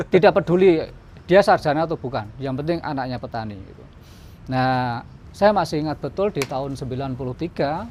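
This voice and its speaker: Lively in intonation, a man with a fairly high voice speaks at a fairly quick pace, his loudness swinging widely. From Boyolali, Central Java, Indonesia. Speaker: community development facilitator. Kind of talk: interview.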